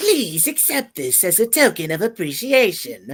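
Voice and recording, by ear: This put-on character voice sits fairly high and swings very widely in pitch at a moderate pace.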